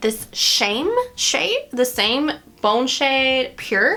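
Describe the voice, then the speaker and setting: A woman's raised, projected voice, high in pitch, over music in the background. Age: 30s. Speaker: beauty vlogger. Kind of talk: makeup tutorial. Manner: casual, chatty.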